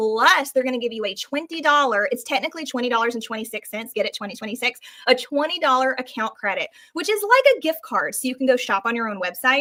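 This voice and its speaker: A woman talks at a fairly quick pace in a high pitch, her voice raised and projected. Her tone is bright and sharp. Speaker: book seller. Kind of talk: live sales pitch. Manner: fast; animated.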